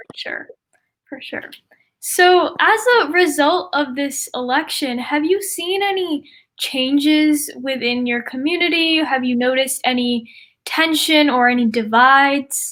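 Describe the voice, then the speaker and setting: With an American accent, a woman speaks at a high pitch in a bright, sharp tone, showing ordinary pitch variation and big swings in loudness on a very clean recording with a silent background. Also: fairly slow pace. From New York Capital Region. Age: 20s. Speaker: student interviewer. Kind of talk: interview.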